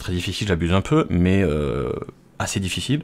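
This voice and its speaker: A man speaks at a moderate pace. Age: 30s. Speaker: home computer technician. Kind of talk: tutorial. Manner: hesitant, many filler sounds; casual, unscripted. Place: home room. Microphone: studio mic.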